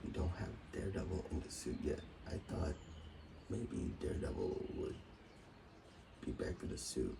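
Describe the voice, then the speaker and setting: Noticeable background noise surrounds a man who keeps a moderate pace. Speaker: YouTube TV reviewer. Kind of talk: casual review monologue. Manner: halting, repeats words.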